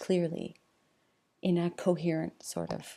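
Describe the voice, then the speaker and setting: A soft-spoken woman at a very slow pace. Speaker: teacher. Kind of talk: tutorial. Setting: home at night.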